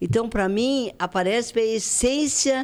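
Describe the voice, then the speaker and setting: A woman at a very slow pace with lively intonation, on a very clean recording with a silent background. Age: 80s+. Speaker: retired teacher and charity leader. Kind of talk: interview.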